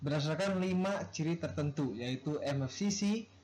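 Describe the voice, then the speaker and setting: A man with a fairly high pitch speaks at a fairly slow pace, his intonation lively. Noticeable background noise runs under his voice. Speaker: university student. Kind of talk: class presentation.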